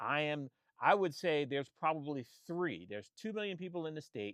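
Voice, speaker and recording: He speaks with an American accent. The speaker is a man. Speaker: photographer and vlogger. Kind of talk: casual monologue. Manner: halting, many repetitions and restarts.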